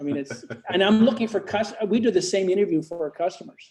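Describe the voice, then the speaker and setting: Dark and mellow describes the tone of this man's voice. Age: 60s. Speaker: theme design company owner. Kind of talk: interview. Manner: animated.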